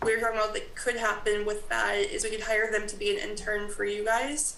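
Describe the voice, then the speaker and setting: Over noticeable background noise and audible room echo, a woman with an American accent talks in a fairly high, flat, monotone voice. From US South. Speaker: graduate assistant at a college. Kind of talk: presentation at a town committee meeting.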